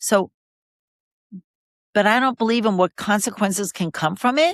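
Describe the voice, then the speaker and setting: A woman with a plain, everyday voice speaks at a moderate pace and fairly high pitch, with lively intonation and very even loudness, the sound dry and close with no echo. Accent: American. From New York City, Queens. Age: 60s. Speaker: podcast guest, mother. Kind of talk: casual conversation interview.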